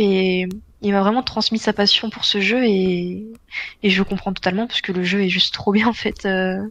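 With a quiet background, a woman speaks in an ordinary speaking voice at a moderate pace, using a medium pitch and fairly even intonation. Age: 20s. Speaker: semi-professional esports player. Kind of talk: casual interview.

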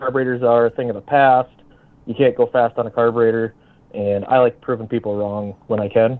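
A man with an American accent, fairly quick pace and flat, monotone intonation. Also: medium pitch for a man. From northern Minnesota. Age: 30s. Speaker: drag racer. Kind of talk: casual chat.

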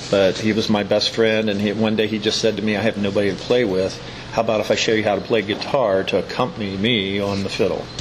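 A man with an American accent speaks very fast in a fairly low voice, his loudness very even. His intonation is flat and monotone, with noticeable background noise behind him. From Maryland, Hagerstown. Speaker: dobro luthier. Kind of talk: interview. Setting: eating gelato at a shop.

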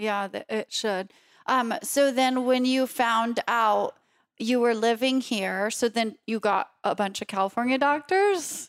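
A woman speaks in a normal speaking voice at a fairly high pitch with ordinary pitch variation. The recording is very clean and silent behind her, with a dry, close sound and no echo. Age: 30s. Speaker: podcast host and cancer survivor. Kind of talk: interview.

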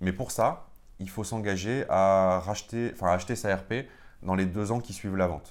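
A man with a very deep, low pitch keeps fairly even intonation and a moderate pace. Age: 30s. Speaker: real estate investor. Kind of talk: interview.

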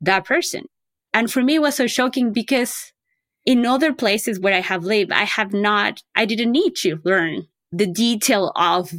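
On a very clean recording with a silent background, a woman with a non-native accent speaks at a fairly slow pace in a medium pitch, her intonation lively and her loudness very even. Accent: foreign-accented English. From outside the US. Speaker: early education advocate. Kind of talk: interview.

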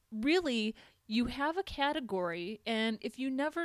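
In a Minnesotan accent, a woman talks with lively intonation. Her pitch is high. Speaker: podcast host, web developer. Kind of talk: tutorial.

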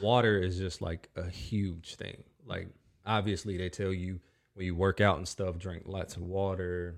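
On a very clean recording with a silent background, a man with an American accent speaks at a very deep, low pitch. His pace is fairly slow and his intonation monotone and flat. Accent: Southern US, somewhat shifted by Minnesota. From North Carolina. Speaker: podcast host and musician.

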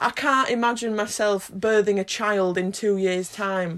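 A woman talks at a medium pitch in a normal speaking voice. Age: 20s. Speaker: podcast host, university student. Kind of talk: casual family chat. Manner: upbeat and giggly.

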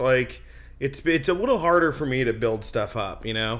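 With an American accent, a man speaks at a moderate pace. His pitch swings very widely. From New Jersey and Westchester, New York. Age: 30s. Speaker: stand-up comedian and TV writer. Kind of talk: casual interview. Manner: casual, filler-heavy, self-interrupting.

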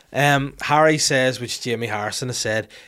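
A man's medium-pitched voice in a Northern Irish accent at a moderate pace, with ordinary pitch variation, on a very clean recording with a silent background. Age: 30s. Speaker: podcast host. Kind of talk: casual chat. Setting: studio. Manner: animated.

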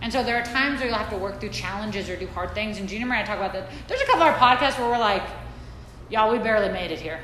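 A woman with an American accent, fairly high pitch, ordinary pitch variation and a very fast pace, amid noticeable background noise and audible room echo. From Saudi Arabia (American expat upbringing). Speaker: women's wellness coach. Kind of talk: talk to a live audience.

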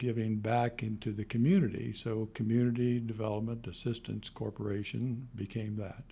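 A man speaks at medium pitch and a moderate pace with hardly any pauses, his dark, mellow tone carried in a monotone, flat intonation. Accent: American. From US Midwest, Kansas City. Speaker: retired lawyer and foundation founder. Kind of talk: interview. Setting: studio. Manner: halting, many fillers.

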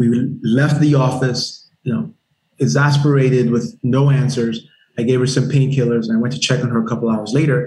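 Medium pitch for a man, somewhat breathy, at a moderate pace, with fairly even intonation and very even loudness. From Nigeria (Lagos), moved to South Carolina at 10. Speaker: army veteran and startup founder. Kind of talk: interview. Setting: podcast interview.

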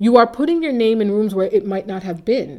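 A woman with an American accent speaks at a moderate pace. Her tone is dark and mellow. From Waltham, Massachusetts. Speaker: HR association chapter president. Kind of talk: interview.

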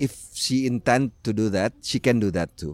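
The speaker talks with an Indonesian accent. The sound is dry and close, with no echo. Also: man. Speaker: language enthusiast, writer. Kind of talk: panel discussion.

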